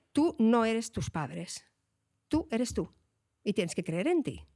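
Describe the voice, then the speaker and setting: In a very clean recording with a silent background, a woman speaks at a moderate pace in an animated tone, her pitch swinging very widely. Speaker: illustrator, writer and science communicator. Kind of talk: casual interview chat.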